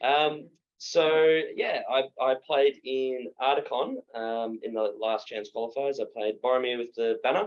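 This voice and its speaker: A man with an Australian accent talks at a fairly slow pace, with hardly any pauses. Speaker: tabletop wargaming player. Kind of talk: casual podcast chat. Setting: in person recording together.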